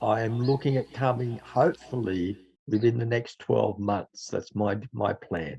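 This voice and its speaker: With an Australian accent, a man speaks fairly slowly at a medium pitch, his dark, mellow voice somewhat breathy and his pitch varying in an ordinary way. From Australia (Dubbo, New South Wales). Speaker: teacher and faith testimony speaker. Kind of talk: casual testimony talk.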